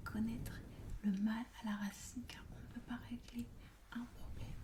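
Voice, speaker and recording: A woman whispers at a fairly slow pace in a calm, soothing tone. Noticeable background noise can be heard. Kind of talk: ASMR roleplay, counseling session. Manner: soft, calm, soothing.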